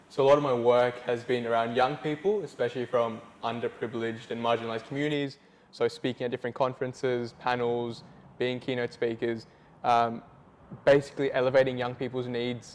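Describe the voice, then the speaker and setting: With a medium pitch and a monotone, flat intonation, a man talks at a fairly quick pace. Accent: Australian. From Australia. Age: 20s. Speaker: youth and multicultural advocate. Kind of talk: interview testimony.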